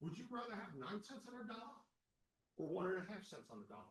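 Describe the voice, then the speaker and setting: Loud and high-pitched, a man talks with lively intonation. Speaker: candidate at association election forum. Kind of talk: candidate forum answer. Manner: animated.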